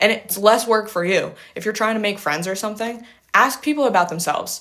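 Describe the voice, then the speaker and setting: The woman has an unremarkable speaking voice with ordinary pitch variation. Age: 20s. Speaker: livestreamer giving life and business advice. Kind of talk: casual livestream Q&A. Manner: casual, filler-heavy with self-corrections.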